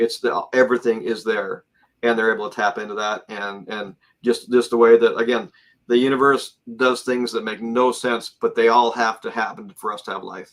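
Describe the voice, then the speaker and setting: A man at medium pitch with fairly even intonation and big swings in loudness. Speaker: space industry worker discussing UFO family legacy. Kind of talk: interview. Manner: fast; halting, many repeated words.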